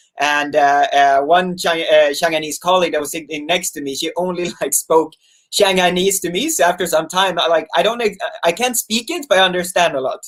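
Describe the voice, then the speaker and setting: A man with a Swedish accent speaks at a fairly quick pace in a high voice, his pitch varying in an ordinary way. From Sweden, small fishing town. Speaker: YouTuber. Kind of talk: casual chat. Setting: live stream video call.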